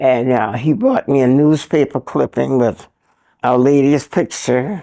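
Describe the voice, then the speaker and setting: With an American accent, a woman speaks at a fairly slow pace in a very deep, low voice. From South Carolina. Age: 90s. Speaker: retired teacher. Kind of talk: interview answer.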